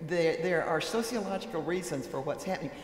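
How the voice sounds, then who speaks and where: A woman speaks with lively intonation. The recording has audible room echo and noticeable background noise. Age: 80s+. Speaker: author and speaker on church. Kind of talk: panel discussion. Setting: stage with audience in chapel. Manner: halting, many fillers and restarts.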